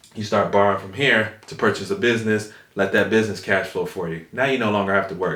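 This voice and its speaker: A man talks at a very fast pace, his medium pitch varying in an ordinary way. Audible room echo fills the recording. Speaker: finance YouTuber and realtor. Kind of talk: tutorial. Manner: animated.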